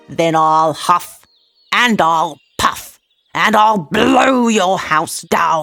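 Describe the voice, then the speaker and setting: In a put-on character voice, the speaker growls at middle pitch, going very slowly with long, frequent pauses. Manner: growling, threatening.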